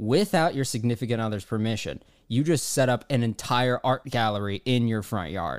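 A man's normal speaking voice at a medium pitch and moderate pace, on a very clean recording with a silent background. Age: 20s. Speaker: comedy advice podcast co-host. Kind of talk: casual chat.

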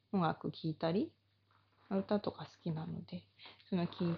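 A woman's voice comes across somewhat breathy with a relaxed tone. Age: 30s. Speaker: body therapy salon owner. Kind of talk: casual monologue.

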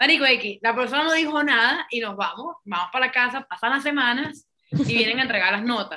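With a Venezuelan accent, a woman speaks at a fairly quick pace with high pitch and lively intonation. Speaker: podcast co-host. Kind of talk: casual chat.

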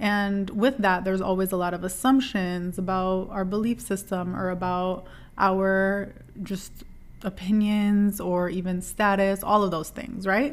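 Here is an unremarkable speaking voice: a woman at medium pitch, fairly slow. Her intonation stays fairly even. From US Midwest (Dearborn, Michigan; Lebanese-American). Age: 30s. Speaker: podcast host. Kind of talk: casual solo monologue.

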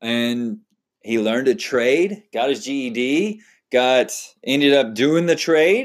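On a very clean recording with a silent background, a man with a Texan accent speaks at a very slow pace, fairly high in pitch, with lively intonation. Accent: Texan American English. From Texas. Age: 30s. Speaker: podcast host. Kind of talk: solo podcast monologue. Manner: casual, conversational with fillers.

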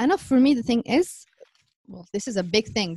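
A woman with an Arabic accent and a dark, mellow tone. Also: dry, close sound with no echo.

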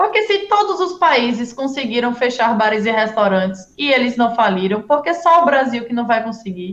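Her voice high and swinging very widely in pitch, a woman talks at a moderate pace with hardly any pauses. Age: 20s. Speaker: city councillor. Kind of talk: interview.

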